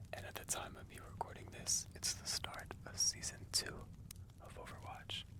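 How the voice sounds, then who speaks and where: The voice is whispering. Noticeable background noise is present. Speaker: gamer. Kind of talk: ASMR gaming commentary. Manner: whispered.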